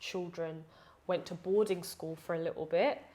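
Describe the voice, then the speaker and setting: A woman's fairly low-pitched voice in a London accent. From London, England (early childhood partly Uganda). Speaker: preacher and educator. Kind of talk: interview conversation. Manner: hesitant, many fillers.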